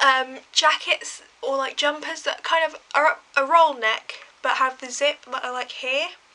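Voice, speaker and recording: In a raised, projected voice with an English accent, the speaker shows big swings in loudness and ordinary pitch variation over noticeable background noise. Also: woman, high pitch for a woman. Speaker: vlogger. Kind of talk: casual storytelling to camera. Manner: fast.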